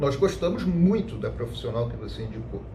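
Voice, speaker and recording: The speech moves at a moderate pace. Audible room echo surrounds it. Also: man. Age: 40s. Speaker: lawyer. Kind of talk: personal testimony to camera.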